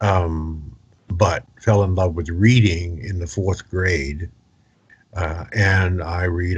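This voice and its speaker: A man's very deep, low-pitched, somewhat breathy voice with an American accent, over a quiet background. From New York City (Brooklyn). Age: 70s. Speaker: entrepreneur and networking expert. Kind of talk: interview. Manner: hesitant, with fillers.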